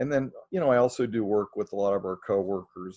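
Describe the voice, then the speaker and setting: A plain, everyday voice from a man, fairly low in pitch, at a fairly quick pace with fairly even intonation. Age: 60s. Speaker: Presbyterian minister, chaplaincy director. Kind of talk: casual chat. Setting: podcast recording.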